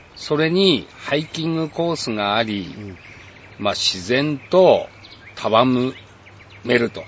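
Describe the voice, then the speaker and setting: A man at a medium pitch with lively intonation, very slow pace and long, frequent pauses over noticeable background noise. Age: 60s. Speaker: camper. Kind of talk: casual interview. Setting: outdoors at campsite.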